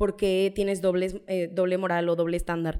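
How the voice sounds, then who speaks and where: With a dark, mellow tone, a woman talks at a fairly quick pace. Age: 20s. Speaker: law student. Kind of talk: casual chat.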